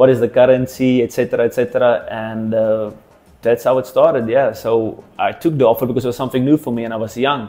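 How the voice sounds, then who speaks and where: Over background music, a man rattles along at a very fast pace in a monotone, flat intonation. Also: medium pitch for a man. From South Africa, Cape Town. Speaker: professional rugby player. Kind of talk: interview monologue.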